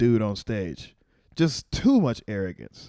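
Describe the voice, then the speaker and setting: A man with an American accent speaks at a very slow pace. His dark, mellow tone sounds dry and close, with no echo. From Texas, Waco. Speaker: stand-up comedian. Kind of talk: casual chat.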